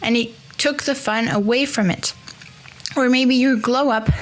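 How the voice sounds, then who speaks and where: Amid noticeable background noise, a woman speaks fairly slowly with fairly even intonation. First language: French. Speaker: podcast host. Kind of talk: solo podcast monologue. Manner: casual, conversational with fillers.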